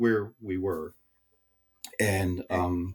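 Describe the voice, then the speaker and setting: A man's very deep, low, somewhat breathy voice with an American accent and fairly even intonation, on a very clean recording with a silent background. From Southern United States. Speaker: tech sales executive. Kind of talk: interview answer.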